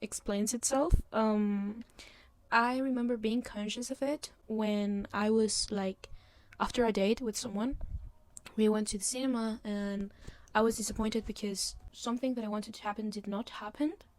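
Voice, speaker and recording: A woman with a fairly high pitch keeps her intonation fairly even and her pace moderate amid noticeable background noise. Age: 20s. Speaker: podcast host. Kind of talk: casual monologue podcast. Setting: filmed on a laptop, in bed. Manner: hesitant, many fillers and restarts. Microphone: laptop mic.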